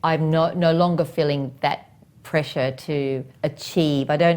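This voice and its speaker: A woman speaks in a very deep, low pitch at a fairly slow pace. Her pitch variation is ordinary. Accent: Australian. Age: 60s. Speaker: property investment expert. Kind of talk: podcast interview.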